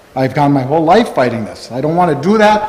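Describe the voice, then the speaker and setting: A man with an American accent speaks with very wide pitch swings. Audible room echo and noticeable background noise fill the recording. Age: 60s. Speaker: farmer. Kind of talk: public comment at meeting. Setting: town hall meeting. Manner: halting.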